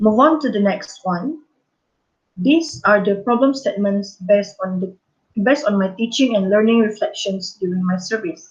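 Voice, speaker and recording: A woman's medium-pitched, somewhat breathy voice at a moderate pace, with lively intonation. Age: 20s. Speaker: primary school teacher. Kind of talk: conference presentation. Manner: formal; halting.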